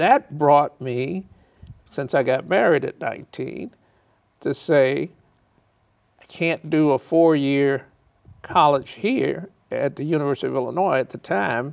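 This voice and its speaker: Speaking very slowly with long, frequent pauses, a man with an American accent shows ordinary pitch variation. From Chicago South Side. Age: 70s. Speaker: real estate developer. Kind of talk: interview.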